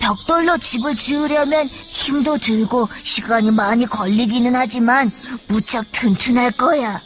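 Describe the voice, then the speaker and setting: A female-sounding put-on character voice speaks at a high pitch and a fairly slow pace. Clear background noise is present. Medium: read story. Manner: bright, plucky.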